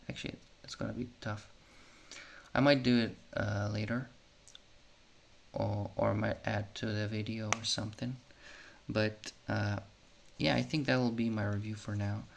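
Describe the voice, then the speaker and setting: At a moderate pace, a man speaks in a fairly low pitch with ordinary pitch variation and long, frequent pauses. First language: Serbian. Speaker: YouTuber reviewing tech. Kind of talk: casual unscripted product review. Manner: halting, with many fillers.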